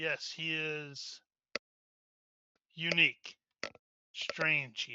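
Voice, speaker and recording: Putting on a character voice, a man speaks in a fairly high pitch with monotone, flat intonation, very slowly and with long, frequent pauses. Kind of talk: archaic fantasy speech. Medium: actual play. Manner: calm, laconic.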